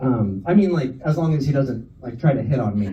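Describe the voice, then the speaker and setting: Audible room echo over a moderate pace and lively intonation. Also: man. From California, San Francisco area. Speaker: stand-up comedian. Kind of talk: stand-up. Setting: stage with audience. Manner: casual, filler-heavy.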